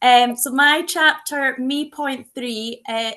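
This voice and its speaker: A woman speaks with a Scottish accent in a bright, sharp tone. Her pitch varies in an ordinary way. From Scotland. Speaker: book co-author and coach. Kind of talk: book launch introduction.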